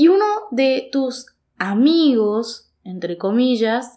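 A woman with a northeastern Argentine accent speaks in a high voice with lively intonation. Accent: Argentine Spanish (voseo, northeastern). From Argentina, Goya (Corrientes). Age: 20s. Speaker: podcast host. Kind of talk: solo monologue podcast, casual reflective.

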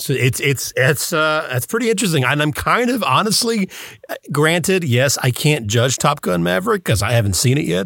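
A man with a fairly high voice and vocal fry swings very widely in pitch, keeping his loudness very even at a moderate pace. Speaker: voice actor and podcast co-host. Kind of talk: casual chat. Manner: mimic, good at imitating voices.

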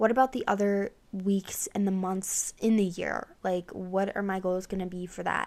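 In a very clean recording with a silent background, a woman speaks fairly slowly at medium pitch in an ordinary speaking voice. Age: 20s. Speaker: podcast host. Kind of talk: casual chat.

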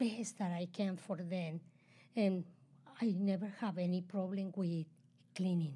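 A woman speaks with medium pitch and fairly even intonation. Her tone is dark and mellow, and somewhat breathy. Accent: Spanish. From Chile. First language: Spanish. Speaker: host's mother, immigrant entrepreneur. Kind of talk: casual chat.

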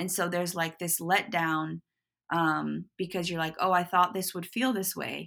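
A woman with an American accent speaks at a moderate pace in a fairly low voice. Her tone is bright and sharp, her intonation fairly even. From US Pacific Northwest, Portland. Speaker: footwear designer. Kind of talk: interview.

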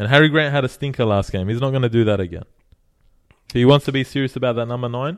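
A man talks at a very fast pace. His pitch is medium, with ordinary variation. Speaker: sports podcast host. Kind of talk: casual banter. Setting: studio. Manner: animated; angry rant, ranting with heated indignation about the Tigers.

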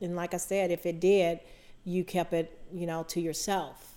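With an American accent, a woman talks at a moderate pace in a fairly low pitch, in a plain, everyday voice. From US South. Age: 60s. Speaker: podcast co-host sharing life story. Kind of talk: casual conversation, personal testimony.

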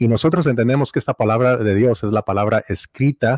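A man with a Mexican accent and a medium pitch speaks at a moderate pace with ordinary pitch variation, in a dry, close sound with no echo and a quiet background. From Mexico. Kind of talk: casual theological discussion. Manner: halting, frequent repetitions.

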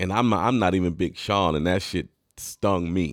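A man with an American accent, a very deep, low pitch and fairly even intonation, on a very clean recording with a silent background. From Detroit area, Michigan. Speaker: podcast host and rapper. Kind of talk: storytelling monologue. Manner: casual, many fillers.

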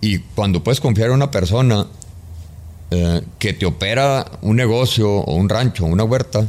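This man has a normal speaking voice with a fairly low pitch. His pitch variation is ordinary. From Mexico, Chihuahua. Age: 50s. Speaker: construction business executive. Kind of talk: interview conversation.

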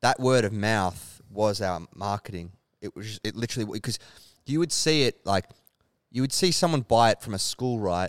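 A man with an Australian accent and a fairly low pitch speaks at a moderate pace with lively intonation, recorded dry and close with no echo. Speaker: clothing brand founder. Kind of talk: casual interview. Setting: warehouse with tin roof.

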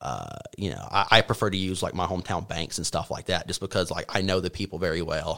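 A man's very deep, low voice with a bright, sharp tone, a slight Appalachian accent, fairly even intonation and a very fast pace. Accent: Appalachian Southern, slight. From Appalachian North Carolina. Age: 20s. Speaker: college graduate, econ major. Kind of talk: casual interview chat.

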